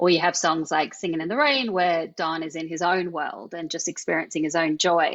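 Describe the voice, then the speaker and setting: A woman's fairly low voice in a strong Australian accent, at a moderate pace with hardly any pauses and ordinary pitch variation. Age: 40s. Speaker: film presenter and author. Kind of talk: podcast interview.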